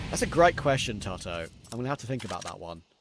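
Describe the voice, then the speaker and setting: Lively intonation comes through with a slight Australian accent. The recording is very clean, with a silent background. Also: man. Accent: slightly Aussie-sounding. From London, England. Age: 20s. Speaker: esports caster and streamer. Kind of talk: live commentary with chat replies.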